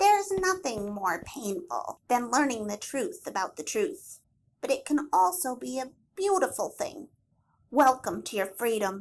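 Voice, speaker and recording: A woman puts on a character voice, pitched high, with warm tone, very wide pitch swings and a moderate pace. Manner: teasing, sly, later warm.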